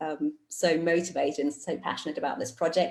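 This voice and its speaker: A woman in a British accent speaks at a moderate pace with a fairly low pitch and ordinary pitch variation. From Germany, Cologne. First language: German and English. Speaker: astronaut candidate. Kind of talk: virtual public talk. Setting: video call.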